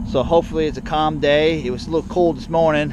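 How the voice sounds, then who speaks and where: A man talks at a very fast pace in a dry sound with no echo, with noticeable background noise behind him. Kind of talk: casual vlog chat. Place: farm machine.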